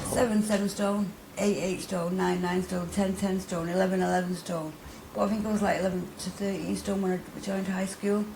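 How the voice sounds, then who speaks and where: With a Mancunian accent, a woman speaks fairly quickly at a medium pitch in a monotone, flat intonation. Noticeable background noise and audible room echo fill the recording. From Manchester, northern England (Middleton). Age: 30s. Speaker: interviewee, recovering addict. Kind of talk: interview testimony. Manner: hesitant, many fillers and repetitions.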